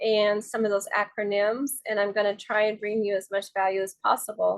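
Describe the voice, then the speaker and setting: Talking at a moderate pace and a fairly high pitch, a woman has a plain, everyday voice. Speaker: real estate advisor. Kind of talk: tutorial. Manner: casual with fillers.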